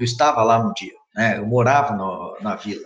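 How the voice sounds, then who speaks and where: Audible room echo hangs on a man as he speaks. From Brazil, interior of São Paulo state (Mococa). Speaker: civil engineering professor. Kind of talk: interview. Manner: halting, with frequent repetitions; emphatic.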